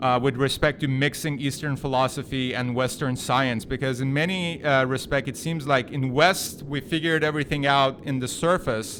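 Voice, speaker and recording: Speaking with a non-native accent, a man goes at a fairly quick pace and medium pitch, with ordinary pitch variation. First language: not English. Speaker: podcast host. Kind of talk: interview.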